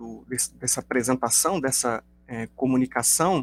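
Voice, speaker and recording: In a dry, close recording with no echo, a man speaks at a medium pitch with ordinary pitch variation. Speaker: linguistics professor. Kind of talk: academic lecture. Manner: hesitant, many fillers.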